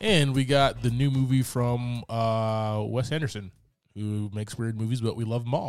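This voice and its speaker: A man speaks at a moderate pace in an ordinary speaking voice. His pitch is medium, with fairly even intonation. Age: 30s. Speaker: podcast host. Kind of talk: casual chat. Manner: casual, joking.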